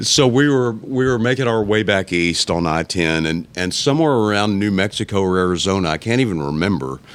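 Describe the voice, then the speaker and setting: Fairly low in pitch, a man talks at a fairly quick pace with lively intonation and hardly any pauses. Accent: Texan. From South Texas, Alice. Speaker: musician. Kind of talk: casual chat. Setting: boot shop.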